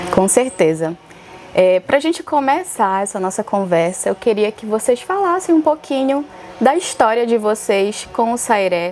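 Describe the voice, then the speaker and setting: A woman talks with very wide pitch swings. Noticeable background noise is present. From Alter do Chão, Pará, Brazil. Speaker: podcast host, dancer and choreographer. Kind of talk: interview.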